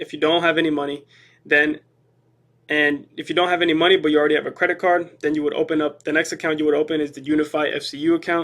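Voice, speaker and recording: In a flat monotone, a man with a fairly high voice rushes along at a very fast pace. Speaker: finance youtuber. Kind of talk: tutorial. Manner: stuttering, halting.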